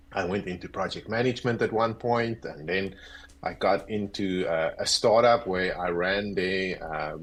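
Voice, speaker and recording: Delivered at a fairly slow pace with ordinary pitch variation, this voice has a South African accent. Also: man. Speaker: agile coach. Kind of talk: interview.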